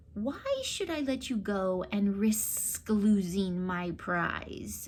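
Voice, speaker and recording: A woman uses a rumbling, put-on character voice at a medium pitch, speaking very slowly with ordinary pitch variation. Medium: read story. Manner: grumbling, menacing.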